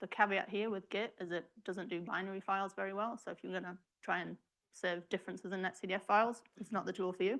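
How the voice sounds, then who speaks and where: This woman has an English accent. She talks at a fairly quick pace with fairly even intonation. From England. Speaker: research software programmer. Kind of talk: tutorial.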